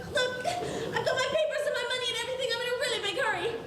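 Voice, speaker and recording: A squeaky, put-on character voice at an extremely high pitch rattles along at a very fast pace over noticeable background noise. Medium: stage play. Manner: airy, excitable.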